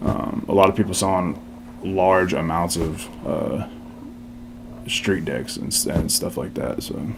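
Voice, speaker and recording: Amid noticeable background noise and audible room echo, the speaker uses a Texan accent and ordinary pitch variation at a fairly slow pace with long, frequent pauses. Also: man, very deep, low pitch for a man. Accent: Texan American. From Texas, Seguin. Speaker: skate shop co-owner, military veteran. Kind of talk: interview. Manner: hesitant, many fillers.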